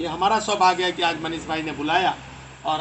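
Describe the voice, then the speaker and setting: Over noticeable background noise, a man speaks high and in a monotone, flat manner. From India, Bihar (Sheohar area). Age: 60s. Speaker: retired army officer and political candidate. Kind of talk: political campaign speech. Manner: hesitant fillers.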